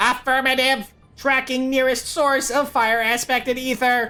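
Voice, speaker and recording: Over faint background music, a high-pitched put-on character voice speaks in a flat monotone. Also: moderate pace. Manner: goofy, exaggerated.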